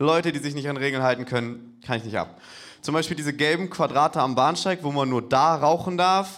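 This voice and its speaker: The words come at a fairly quick pace. It is an ordinary speaking voice, and its pitch varies in an ordinary way. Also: man, fairly high pitch for a man. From Hamburg. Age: 20s. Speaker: comedian. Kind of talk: stand-up. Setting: stage with audience.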